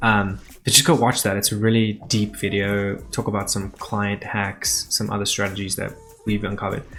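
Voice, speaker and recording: A man with a fairly low pitch speaks at a moderate pace with fairly even intonation over noticeable background noise. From South Africa. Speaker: business owner and online show host. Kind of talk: casual vlog talk to camera. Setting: sitting on the floor, filming himself. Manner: loose and conversational, many fillers.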